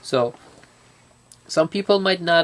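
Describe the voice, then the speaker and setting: A man with a non-native accent speaks fairly slowly in a fairly high voice with lively intonation, the sound dry and close with no echo but with noticeable background noise. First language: not English. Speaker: student. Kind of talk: casual interview. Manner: halting.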